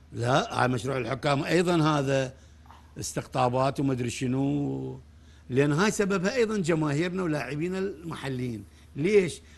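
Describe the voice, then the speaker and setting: A man talks fairly slowly, his intonation lively. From Iraq. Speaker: football coach. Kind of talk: studio interview. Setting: studio. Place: studio.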